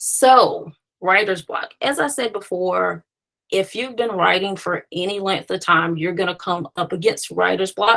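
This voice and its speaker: A woman with a bright, sharp tone and vocal fry speaks at a fairly slow pace, her medium pitch showing ordinary variation. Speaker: screenwriter and consultant hosting a webinar. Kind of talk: webinar presentation. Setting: online webinar.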